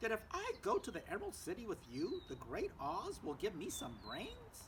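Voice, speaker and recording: Someone does a put-on character voice at a moderate pace against clear background noise. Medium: read story.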